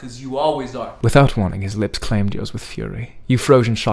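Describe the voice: Reading aloud plainly, pitch varying in an ordinary way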